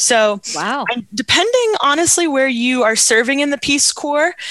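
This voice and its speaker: A woman's bright, sharp, energetic voice with an American accent and lively intonation at a fairly slow pace. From New York, Hudson Valley. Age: 20s. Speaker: Rotarian, volunteer. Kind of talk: radio interview.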